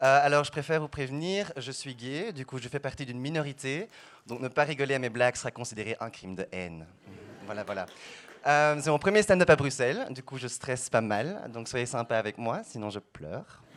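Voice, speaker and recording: At a moderate pace, a man talks with medium pitch, lively intonation and big swings in loudness. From Belgium, Brussels. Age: 20s. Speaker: stand-up comedian. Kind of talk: stand-up.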